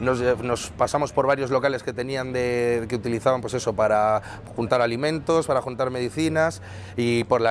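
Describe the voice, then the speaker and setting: A man speaks with a strong Madrid accent at a medium pitch. His intonation is fairly even and his pace fairly quick. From Madrid, Spain. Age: 30s. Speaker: humanitarian volunteer. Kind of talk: interview testimony. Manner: fast; halting, many fillers and restarts.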